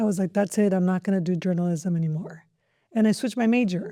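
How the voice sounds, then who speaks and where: With a Spanish accent, a woman speaks very fast at a medium pitch in a dark, mellow tone with ordinary pitch variation, on a very clean recording with a silent background. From Mexico (Jalisco family), raised in southern California. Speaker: school district superintendent. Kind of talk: podcast interview.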